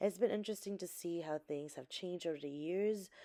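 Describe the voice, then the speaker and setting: With a New Jersey accent, a woman speaks in a dark, mellow tone with ordinary pitch variation. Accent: New Jersey American. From New Jersey, US (born in the Philippines). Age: 30s. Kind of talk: casual talk to camera.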